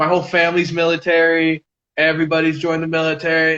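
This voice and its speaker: A man with an American accent, fairly high in pitch, at a moderate pace. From US Southwest, Albuquerque, New Mexico. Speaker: cannabis lifestyle influencer. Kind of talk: casual chat.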